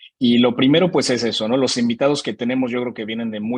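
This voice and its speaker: Talking at a very fast pace, a man with a medium pitch is heard in a dry, close sound with no echo. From Mexico. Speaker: podcast host presenting his show. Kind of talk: virtual panel presentation. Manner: casual, with many fillers.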